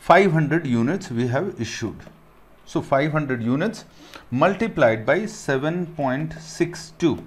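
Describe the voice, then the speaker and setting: A fairly slow delivery, lively in its intonation, plus audible echo from the room. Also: man, fairly high pitch for a man. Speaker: accounting teacher. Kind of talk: lecture.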